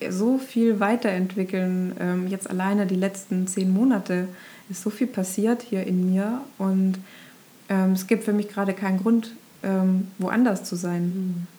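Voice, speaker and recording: Speaking at a very slow pace, a woman has a medium pitch and a dark, mellow tone. Her voice is somewhat breathy, with fairly even intonation. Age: 30s. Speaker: ashram resident, former marketing worker. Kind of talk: casual interview chat. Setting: in person at a yoga ashram. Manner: hesitant, many filler sounds.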